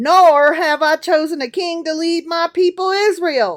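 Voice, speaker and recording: A put-on character voice in a Southern accent goes to an extremely high pitch. It moves at a moderate pace. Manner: fake, preachy.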